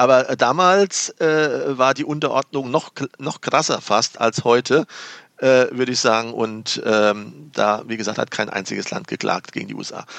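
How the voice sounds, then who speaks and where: A man with a medium-pitched voice and ordinary pitch variation talks fairly slowly. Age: 50s. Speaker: economist and former entrepreneur. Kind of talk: casual chat. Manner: halting.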